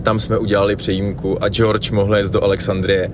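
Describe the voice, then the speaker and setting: Noticeable noise sits in the background. The room adds an audible echo. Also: man. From Czech Republic, Plzeň region. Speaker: traveller and radio podcast host. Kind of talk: spoken travel diary.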